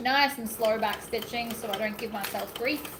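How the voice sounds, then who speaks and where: Woman with an Australian accent at a fairly high pitch and moderate pace, with audible room echo and noticeable background noise. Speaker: sewing YouTuber. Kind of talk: live stream craft tutorial chat. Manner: animated.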